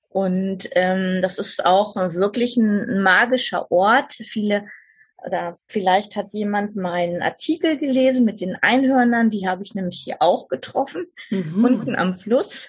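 Against a quiet background, a woman with a somewhat breathy voice speaks at a fairly slow pace and ordinary pitch variation. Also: medium pitch for a woman. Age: 60s. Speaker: podcast guest sharing life story. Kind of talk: interview. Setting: remote call from southern France.

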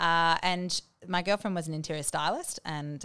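On a very clean recording with a silent background, a woman speaks fairly low, with ordinary pitch variation. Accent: Australian. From Australia, Bendigo, Victoria. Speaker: interior designer. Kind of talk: interview. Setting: studio. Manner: hesitant, many ums.

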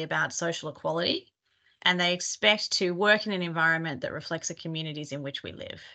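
In an Australian accent, a woman speaks very fast with ordinary pitch variation against a quiet background. Her voice sits fairly low and has a bright, sharp tone. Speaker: consultant, workforce advisory partner. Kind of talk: interview.

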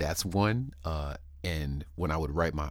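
With vocal fry and an American accent, a man speaks at a moderate pace in a very deep, low pitch. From San Diego, California. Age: 40s. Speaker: rapper and podcast host. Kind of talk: interview. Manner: halting, frequent repetitions.

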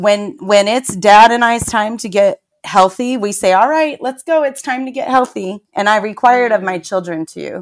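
A woman's normal speaking voice, fairly high in pitch, with ordinary pitch variation, a moderate pace and hardly any pauses. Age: 40s. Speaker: fitness trainer. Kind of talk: casual chat.

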